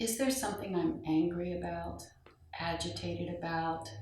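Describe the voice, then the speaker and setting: Against noticeable background noise, a woman with a fairly low pitch speaks at a fairly slow pace in a calm tone. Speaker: meditation guide. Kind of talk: guided meditation. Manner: slow, calm.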